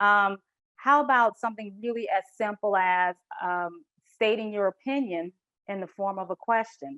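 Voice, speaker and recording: Speaking with a Southern US accent, a woman uses a medium pitch, ordinary pitch variation and a moderate pace, captured with a dry, close sound with no echo against a quiet background. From US South. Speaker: corporate culture consultant. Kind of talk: presentation.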